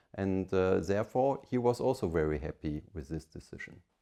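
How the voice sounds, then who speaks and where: A man with a fairly low pitch and a dark, mellow tone, with a German accent. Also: quiet background. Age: 50s. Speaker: family business leader. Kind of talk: interview monologue. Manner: hesitant with fillers.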